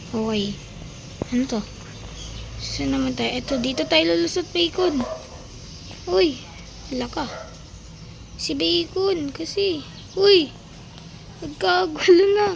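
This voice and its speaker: The speech is very slow, with long, frequent pauses. Noticeable background noise runs underneath. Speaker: gaming video creator. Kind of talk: gameplay commentary. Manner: animated.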